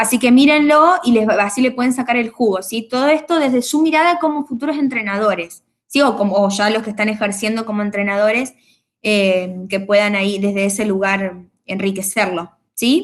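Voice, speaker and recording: Using lively intonation, a woman talks at a fairly high pitch. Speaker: university lecturer. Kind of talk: online class lecture. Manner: fast.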